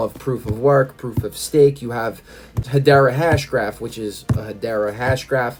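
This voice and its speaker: A man's medium-pitched voice with fairly even intonation, music playing in the background. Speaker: crypto YouTuber. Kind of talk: tutorial. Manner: fast. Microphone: recorded on iPad, technical issues.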